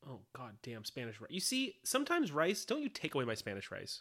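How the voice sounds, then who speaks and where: Talking at a fairly quick pace with hardly any pauses, a man uses vocal fry, his pitch swinging very widely and his loudness shifting a lot. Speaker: comedy podcast co-host. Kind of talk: casual chat. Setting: home, in bed. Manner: laid-back, lounging.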